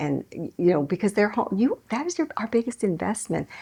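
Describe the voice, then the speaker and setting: Vocal fry runs through this woman's voice. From Hawaii. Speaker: business owner. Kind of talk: interview.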